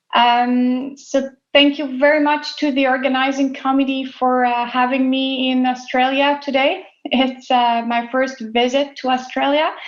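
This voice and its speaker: With a French Canadian accent, a woman talks fairly slowly in a high, flat, monotone voice over audible room echo. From Quebec, Canada. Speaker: dairy scientist. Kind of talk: conference talk.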